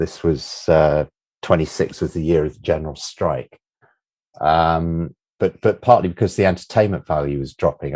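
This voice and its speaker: In an English accent, a man speaks at a moderate pace. His pitch is very deep and low. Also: dry, close sound with no echo. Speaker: sports journalist and author. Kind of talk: football history discussion. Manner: halting, many repetitions and fillers.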